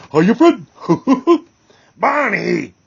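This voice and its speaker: A man puts on a character voice pitched high. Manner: cartoonish, cheerful greeting.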